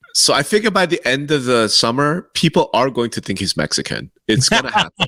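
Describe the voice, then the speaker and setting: Vocal fry and a bright, sharp tone with very wide pitch swings at a fairly quick pace, in a dry, close sound with no echo on a very clean recording with a silent background. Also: man, fairly high pitch for a man. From Korea, moved to the US as a child. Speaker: real estate podcast co-host. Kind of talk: casual chat.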